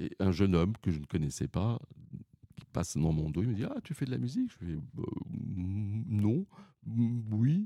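Here a man speaks at a fairly slow pace in a fairly low, somewhat breathy voice with a dark, mellow tone. His pitch swings very widely. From Paris region, France. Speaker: retired opera singer. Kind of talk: interview.

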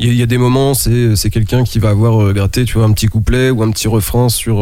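This man talks at a fairly quick pace and a medium pitch. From France, Nantes. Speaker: rapper. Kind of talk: casual chat. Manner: halting.

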